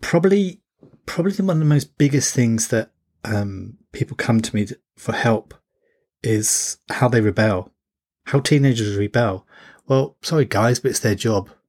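Over a silent background in a very clean recording, a man speaks at medium pitch with lively intonation and a somewhat breathy sound. His pace is moderate, with long, frequent pauses. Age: 40s. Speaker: parenting coach and podcast host. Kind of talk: solo podcast monologue. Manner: hesitant with fillers and repetitions.

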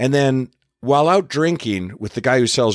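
Here is a man with an unremarkable speaking voice and a Canadian accent. He talks at a moderate pace with lively intonation. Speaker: podcast host. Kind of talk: casual chat. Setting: studio.

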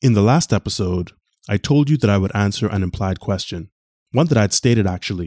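A man with a fairly low pitch speaks at a fairly quick pace in a dark, mellow tone with lively intonation, recorded dry and close with no echo. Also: quiet background. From Bahamas. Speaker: podcast host. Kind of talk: scripted narration.

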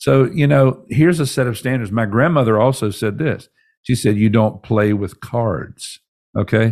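A normal speaking voice talks at a moderate pace with ordinary pitch variation. The recording is very clean, with a silent background. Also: man, medium pitch for a man. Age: 60s. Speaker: pastor and leadership podcast host. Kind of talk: podcast teaching monologue. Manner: conversational, with frequent fillers and repetitions.

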